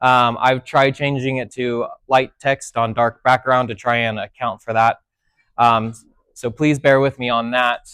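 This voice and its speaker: A loud man's voice at a medium pitch, fairly slow, with a dry, close sound and no echo. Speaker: technology instructor. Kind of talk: seminar lecture. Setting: classroom with audience. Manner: soft-spoken; speaking loudly on purpose.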